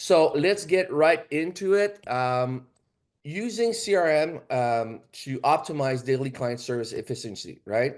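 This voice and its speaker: Lively intonation carries a Quebec accent at a fairly slow pace. The background is quiet. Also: man, fairly high pitch for a man. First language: French. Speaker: financial services agent. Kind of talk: training presentation. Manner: halting.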